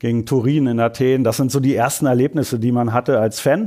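The man's voice has a dark, mellow tone at a medium pitch. His intonation is fairly even. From Germany, rural. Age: 40s. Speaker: marketing manager. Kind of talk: casual chat. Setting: studio.

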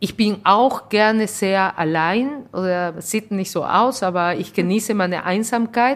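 A woman speaks with a Spanish accent. Her pace is fairly slow. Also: medium pitch for a woman, ordinary pitch variation, hardly any pauses. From Peru. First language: Spanish (speaking German). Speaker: restaurant owner. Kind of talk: interview. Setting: in her restaurant.

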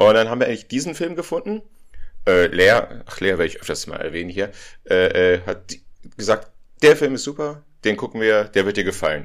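A man talks at a fairly quick pace, leaving long, frequent pauses. The recording is very clean, with a silent background. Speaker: podcast co-host, film fan. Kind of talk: casual chat. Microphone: poor audio, levels in the red.

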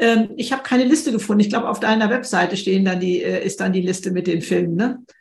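Somewhat breathy, a woman talks at a very fast pace in a fairly high pitch with ordinary variation. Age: 70s. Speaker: author. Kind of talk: podcast interview conversation.

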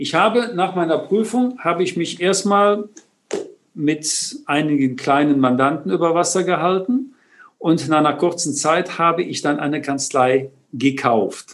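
Lively in intonation, a man speaks with a high pitch at a fairly slow pace. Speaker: tax advisor. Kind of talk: interview.

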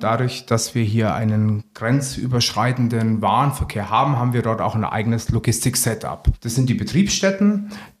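This man keeps a moderate pace with hardly any pauses, his medium pitch showing ordinary variation. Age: 40s. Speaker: sales executive. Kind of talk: interview.

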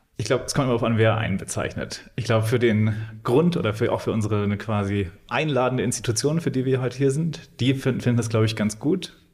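A somewhat breathy man's voice at a very fast pace, medium in pitch with ordinary pitch variation. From Thuringia, Germany (Weimar). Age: 30s. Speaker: gallery owner. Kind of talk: interview.

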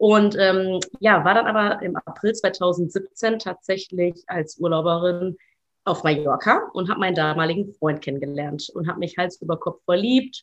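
At a moderate pace, a woman with an ordinary speaking voice talks at medium pitch with ordinary pitch variation. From Germany, Ruhr area. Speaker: journalist. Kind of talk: casual interview.

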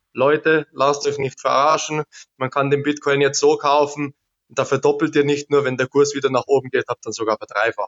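A man talks at a moderate pace in a fairly high pitch for a man. His intonation stays flat and monotone. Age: 30s. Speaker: crypto investor and technician. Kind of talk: interview.

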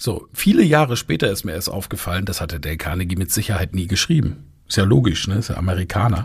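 Lively intonation runs through this very fast delivery. The voice is somewhat breathy. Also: man, very deep, low pitch for a man. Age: 40s. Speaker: rhetoric trainer and podcast host. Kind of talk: live audio-room talk, moderated discussion. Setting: live social audio room.

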